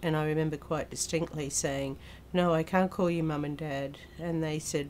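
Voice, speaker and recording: Someone talks at a fairly quick pace in an Australian accent. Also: woman. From Australia, Queensland. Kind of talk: personal testimony. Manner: hesitant, with fillers.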